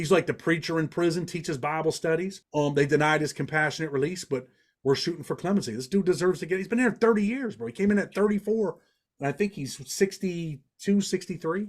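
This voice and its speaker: A man with a slight Southern US accent, high in pitch, animated in tone, at a very fast pace, in a very clean recording with a silent background. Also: ordinary pitch variation. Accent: slight Southern twang. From Western New York (Rochester), family from Indiana. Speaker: former prisoner, legal advocate and writer. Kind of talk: casual podcast interview.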